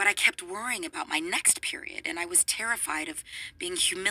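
Simply plain reading aloud

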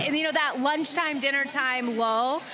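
Over light background noise, a woman speaks in a raised, projected voice with ordinary pitch variation. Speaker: on-site event reporter. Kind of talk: live event reporting. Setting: outdoors at food court. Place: market. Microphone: handheld.

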